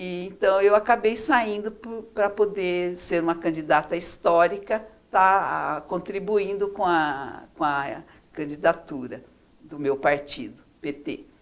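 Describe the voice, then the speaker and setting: A woman speaks at a very slow pace, her loudness swinging widely. Her pitch sits in the middle of her range, with lively intonation. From Brazil, interior of São Paulo state (Araçatuba). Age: 60s. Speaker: former city councillor, retired chemist. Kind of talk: interview.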